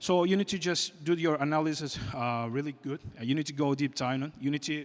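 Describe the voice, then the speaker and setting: A man with a non-native accent speaks at a fairly high pitch and with fairly even intonation. The recording is very clean, with a silent background. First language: not English. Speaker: game company CEO, conference speaker. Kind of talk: conference talk. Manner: halting, many fillers.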